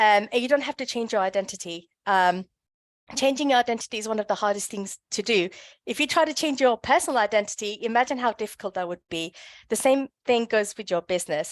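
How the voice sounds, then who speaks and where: Over a quiet background, a woman talks very fast at a fairly high pitch with lively intonation, in a dry, close sound with no echo. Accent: British. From London, England. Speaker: brand consultant. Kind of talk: workshop presentation. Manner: hesitant with many fillers.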